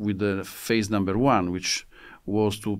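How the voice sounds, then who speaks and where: A man with an Italian accent speaks at a fairly low pitch in a very clean recording with a silent background. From Italy. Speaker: military attaché. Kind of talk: interview. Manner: halting.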